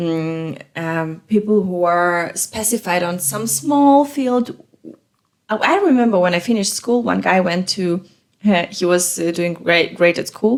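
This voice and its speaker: A woman speaks with a non-native accent at fairly low pitch. Her pace is fairly slow and her intonation lively. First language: not English. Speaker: podcast co-host. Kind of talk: casual chat. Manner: halting, many fillers.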